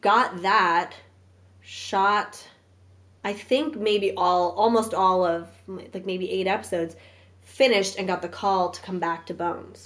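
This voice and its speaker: Loudness swings widely as a woman with an American accent speaks at a fairly slow pace. Her voice is unremarkable, medium in pitch, with ordinary pitch variation. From Brooklyn, New York. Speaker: actress. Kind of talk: casual chat.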